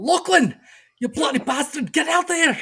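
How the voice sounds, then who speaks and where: Someone shouts in a put-on character voice. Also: man, extremely high pitch for a man, moderate pace. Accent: Scottish. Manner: shouting.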